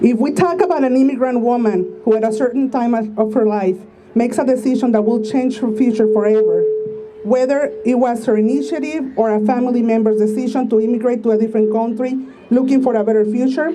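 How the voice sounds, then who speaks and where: A woman with a Spanish accent and a fairly high pitch speaks at a fairly quick pace with ordinary pitch variation and very even loudness, amid noticeable background noise and audible room echo. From Mexico (Tijuana). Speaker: activist speaker. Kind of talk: speech read aloud at a rally.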